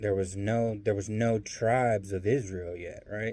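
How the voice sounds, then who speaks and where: A man with a slight Southern US accent speaks in a dark, mellow tone. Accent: slight Southern country. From US South. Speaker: bible teacher. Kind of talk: casual bible teaching monologue. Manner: hesitant, many fillers.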